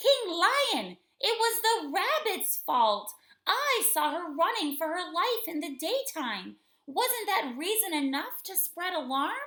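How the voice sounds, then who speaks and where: A woman puts on a character voice at an extremely high pitch with very wide pitch swings. She takes a fairly slow pace. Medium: read story.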